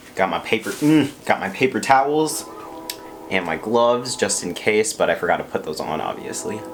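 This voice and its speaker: Man with lively intonation at a moderate pace, noticeable background noise. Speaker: YouTuber. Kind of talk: mukbang eating video monologue. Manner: quiet, low volume; casual, filler words.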